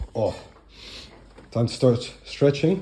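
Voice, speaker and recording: A man speaks with a Dutch accent. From Netherlands. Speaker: bodybuilder and fitness coach. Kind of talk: vlog. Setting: at home.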